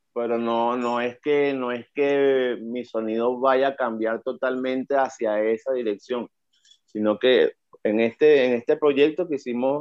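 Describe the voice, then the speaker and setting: This is an unremarkable speaking voice at a fairly slow pace. The intonation stays fairly even. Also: man. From Venezuela, La Guaira. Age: 40s. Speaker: rapper. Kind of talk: interview.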